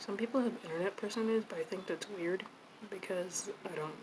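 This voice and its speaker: Amid noticeable background noise, a woman speaks at a medium pitch and a moderate pace with ordinary pitch variation. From US, moved around (California, Tennessee, Nevada). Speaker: artist, video creator. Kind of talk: casual chat while painting. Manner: soft-spoken; rambling, hesitant.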